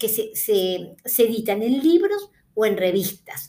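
A woman with a fairly high voice speaks very slowly. Her intonation is lively. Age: 60s. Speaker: podcast host, book reviewer. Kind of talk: casual monologue about books. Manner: hesitant, with fillers.

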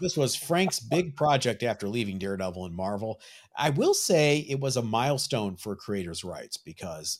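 A man with a normal speaking voice, medium pitch, lively intonation and a moderate pace, in a very clean recording with a silent background. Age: 50s. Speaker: comic book collector, podcast co-host. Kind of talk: casual chat.

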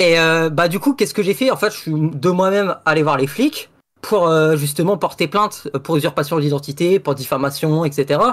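A man with a plain, everyday voice talks at a moderate pace in a fairly high pitch. His pitch variation is ordinary and his loudness very even. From Saint-Pierre and Miquelon. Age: young. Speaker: caller telling a story. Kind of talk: storytelling. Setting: online voice call.

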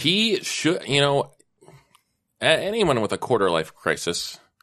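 A man speaks very slowly with vocal fry and very wide pitch swings. His loudness stays very even. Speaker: tabletop role-playing podcast guest player; school lunch and recess supervisor.

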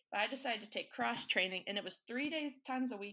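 Bright and sharp in tone, a woman with a Southern US accent talks at a fairly quick pace with lively intonation. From North Carolina. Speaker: student. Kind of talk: casual chat.

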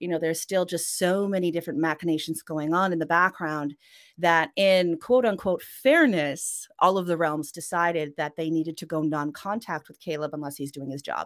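A woman's unremarkable speaking voice, fairly low in pitch, with a Canadian accent, moderate pace, hardly any pauses, ordinary pitch variation and big swings in loudness, in a very clean recording with a silent background. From Western Canada, Norwegian family. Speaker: author. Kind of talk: interview. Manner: casual, with fillers and laughs.

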